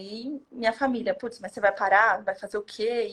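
A woman with a normal speaking voice and fairly high pitch talks at a fairly slow pace. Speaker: hotel management consultant. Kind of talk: casual interview.

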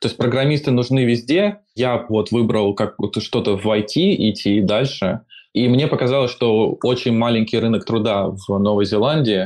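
Delivered in a normal speaking voice, the speech moves at a moderate pace with ordinary pitch variation and very even loudness against a quiet background. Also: man, medium pitch for a man. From Moscow, Russia. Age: 20s. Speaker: software engineer. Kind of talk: casual chat.

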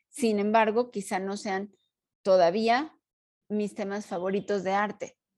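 A woman talks at a fairly slow pace. Her intonation is fairly even. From Mexico. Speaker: podcast co-host, art historian and teacher. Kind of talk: casual chat.

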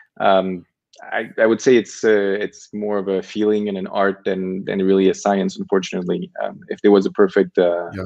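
Monotone, flat intonation from a man at a fairly low pitch and moderate pace. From France. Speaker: tech startup co-founder. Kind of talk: interview. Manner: halting, many fillers.

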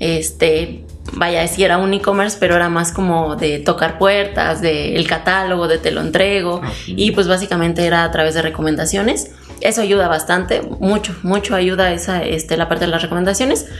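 Speaking at a moderate pace with fairly even intonation, a woman with a fairly low pitch is heard over noticeable background noise and audible room echo. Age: 20s. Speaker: entrepreneur. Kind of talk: interview. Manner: hesitant, many fillers.

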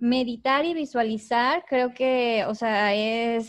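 Against a quiet background, a woman talks in a high pitch with ordinary pitch variation. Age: 20s. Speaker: youtuber and entrepreneur. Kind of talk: casual interview chat.

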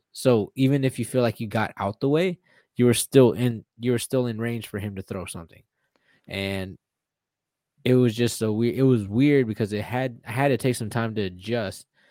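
With an American accent and a dark, mellow tone, a man speaks at medium pitch and a moderate pace with ordinary pitch variation, in a dry, close sound with no echo on a very clean recording with a silent background. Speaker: UFC fighter. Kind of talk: casual chat. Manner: excitable.

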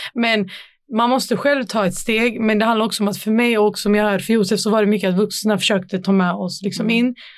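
A woman talks very fast at a medium pitch with fairly even intonation. The background is quiet. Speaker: youth council chair. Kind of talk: casual chat.

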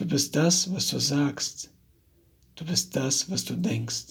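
A man speaks at a very slow pace. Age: 30s. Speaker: personal coach. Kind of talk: motivational monologue.

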